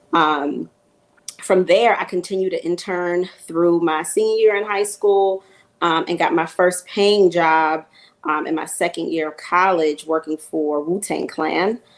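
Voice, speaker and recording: A woman with a New York accent and a fairly low pitch, talking at a fairly slow pace. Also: fairly even intonation. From Queens, New York. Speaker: music marketing executive. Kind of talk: panel discussion. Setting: virtual panel. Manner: hesitant, many fillers.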